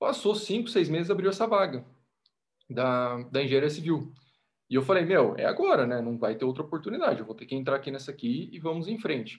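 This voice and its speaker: A man with an ordinary speaking voice and a fairly high pitch talks at a fairly quick pace, using lively intonation and big swings in loudness. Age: 20s. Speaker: podcast guest, motivational content creator. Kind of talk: casual chat.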